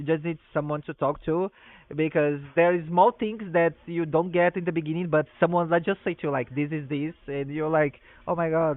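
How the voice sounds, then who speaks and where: A fairly high-pitched male voice with a non-native accent. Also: fairly even intonation, moderate pace. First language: not English. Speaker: stream host. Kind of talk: interview. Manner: halting, with fillers.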